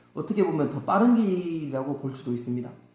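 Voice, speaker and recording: A voice with a strong Gyeongsang accent moves through very wide pitch swings. Room echo and noticeable background noise are both audible. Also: man. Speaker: saxophone teacher. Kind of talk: tutorial. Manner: halting, many fillers.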